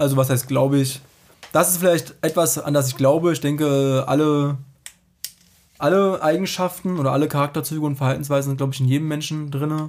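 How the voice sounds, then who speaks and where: A man at a fairly high pitch moves at a fairly quick pace with fairly even intonation. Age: 30s. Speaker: statistics master's student. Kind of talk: casual interview.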